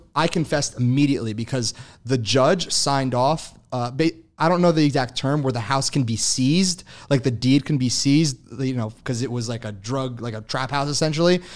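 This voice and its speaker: Recorded very cleanly over a silent background, a man with an American accent and an unremarkable speaking voice talks at a moderate pace with ordinary pitch variation. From New Jersey. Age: 20s. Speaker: e-commerce entrepreneur. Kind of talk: casual chat.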